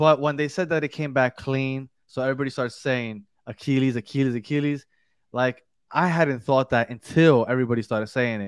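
A man with a medium pitch uses a normal speaking voice at a fairly quick pace with fairly even intonation, the sound dry and close with no echo against a quiet background. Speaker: podcast host. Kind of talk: casual sports chat.

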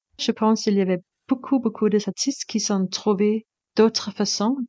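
A woman speaks with a Danish accent in a dark, mellow tone. The sound is dry and close with no echo, against a quiet background. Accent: Danish accent in French, sing-song. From Denmark. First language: Danish (speaking French). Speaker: composer and performer. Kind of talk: interview. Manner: halting, hesitant non-native French.

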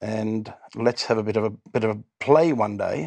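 Fairly low in pitch, a man talks in an Australian accent with ordinary pitch variation. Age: 60s. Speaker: musician in a cover band. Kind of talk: casual chat. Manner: halting.

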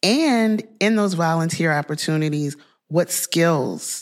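Speaking at a moderate pace with a Louisiana accent, a woman keeps a fairly low pitch and ordinary pitch variation. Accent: Southern US (Louisiana). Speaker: podcast host. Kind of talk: interview.

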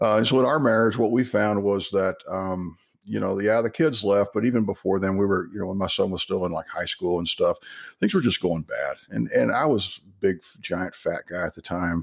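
A man with an American accent speaks at a moderate pace, his fairly low voice showing ordinary pitch variation. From Texas. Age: 50s. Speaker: author. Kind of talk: casual interview chat.

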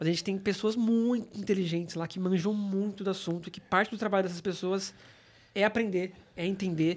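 At a fairly quick pace, a man speaks in a high pitch with monotone, flat intonation. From São Paulo. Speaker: UX team manager. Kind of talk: casual chat.

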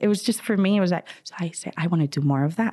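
A woman speaks with a Spanish accent in a fairly low pitch. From Spain (Madrid). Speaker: travel entrepreneur. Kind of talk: interview. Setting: studio.

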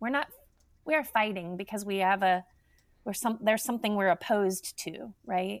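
In a very clean recording with a silent background, a woman uses an ordinary speaking voice at medium pitch, with ordinary pitch variation and a moderate pace. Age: 50s. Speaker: nonprofit health organization executive. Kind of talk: interview.

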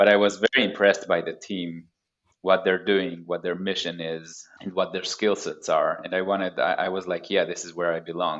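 At a moderate pace, a man speaks with an Israeli accent. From Haifa, northern Israel. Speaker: security researcher. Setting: remote call from the Pacific Northwest. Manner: halting, repeats words.

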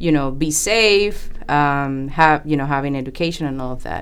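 A woman's voice in a Spanish accent, with ordinary pitch variation and audible room echo. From Panama. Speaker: engineer and project manager. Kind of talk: podcast interview.

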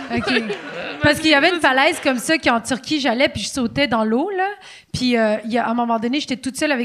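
A woman's high-pitched voice at a very fast pace, with ordinary pitch variation and noticeable background noise. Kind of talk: casual chat. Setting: stage with audience.

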